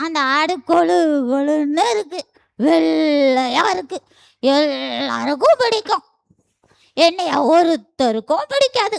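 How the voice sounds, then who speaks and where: A cartoonish character voice speaks very slowly at a high pitch. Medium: puppet. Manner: sorrowful, pleading.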